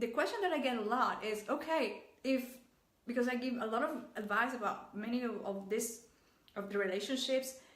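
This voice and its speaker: A woman's fairly high voice in a Mexican accent, at a moderate pace with ordinary pitch variation and audible room echo. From Mexico. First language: Spanish. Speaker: relationship coach. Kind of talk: vlog advice talk. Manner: halting.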